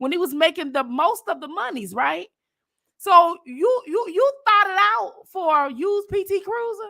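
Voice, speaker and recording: Projecting a raised voice at an extremely high pitch, a woman speaks at a fairly slow pace with a bright, sharp tone, an animated delivery and very wide pitch swings. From Detroit. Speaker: livestream commentator. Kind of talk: casual chat.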